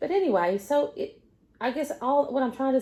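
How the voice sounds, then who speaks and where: A woman's dark, mellow tone carries lively intonation. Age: 60s. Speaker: lifestyle and makeup vlogger, retired nurse. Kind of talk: casual get-ready-with-me chat. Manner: rambling, hesitant with fillers.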